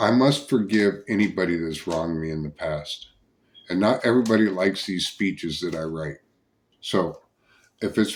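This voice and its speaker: On a very clean recording with a silent background, a man speaks at a moderate pace. His pitch is very deep and low, with ordinary variation. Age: 40s. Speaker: political candidate. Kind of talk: campaign speech. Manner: halting, repeats words.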